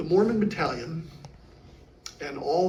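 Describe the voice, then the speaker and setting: Audible room echo and noticeable background noise fill the recording. Through them a man speaks at a fairly slow pace. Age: 70s. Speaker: history presenter. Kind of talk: lecture with audience Q&A. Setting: interpretive center with live audience.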